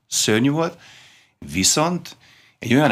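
A man's bright, sharp tone, with ordinary pitch variation at a moderate pace. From Hungary, Budapest; Hungary. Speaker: former competitive swimmer; guest. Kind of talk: interview. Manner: halting, many fillers. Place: studio.

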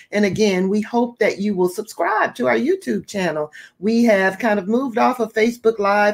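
Her pitch varies in an ordinary way as the woman talks at a moderate speed. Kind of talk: closing announcements to viewers.

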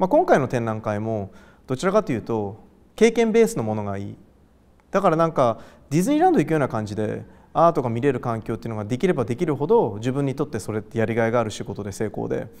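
Lively in intonation, a man speaks at a very fast pace. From Japan, Gifu (Hida-Takayama), later Tokyo; Japan. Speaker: artist. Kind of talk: interview. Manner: casual, hesitant with fillers.

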